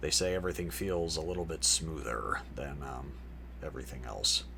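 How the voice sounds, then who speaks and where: A soft-spoken man with a bright, sharp tone and vocal fry speaks at a moderate pace with lively intonation, with audible room echo. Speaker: archery gear reviewer. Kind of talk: product review. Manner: hesitant, many fillers.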